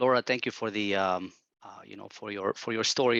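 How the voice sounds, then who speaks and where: Bright, sharp tone at a moderate pace, ordinary pitch variation, dry and close with no echo, quiet background. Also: man. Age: young. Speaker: student. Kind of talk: audience question. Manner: halting.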